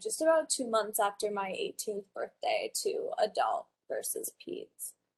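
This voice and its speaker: Swinging very widely in pitch, a woman speaks with an American accent. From Wyoming, US. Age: 20s. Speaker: college student and patient. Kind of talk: conference presentation.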